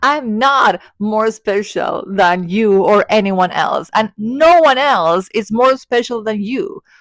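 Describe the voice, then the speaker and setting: A woman with an Argentine accent speaks at a very slow pace, with hardly any pauses. The recording is very clean, with a silent background. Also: fairly high pitch for a woman, lively intonation. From Argentina. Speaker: spiritual content creator. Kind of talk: personal vlog monologue.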